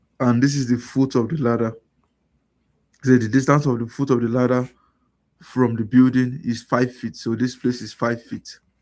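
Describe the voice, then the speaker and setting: A soft-spoken man talks at a medium pitch in a flat, monotone delivery. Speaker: math and science tutor. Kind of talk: tutorial. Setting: live stream.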